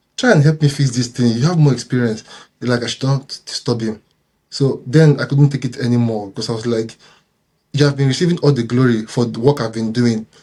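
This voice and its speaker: Fairly quick, somewhat breathy speech from a man of medium pitch, dark, mellow in tone, with fairly even intonation. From Nigeria. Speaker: software engineer. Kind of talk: interview storytelling.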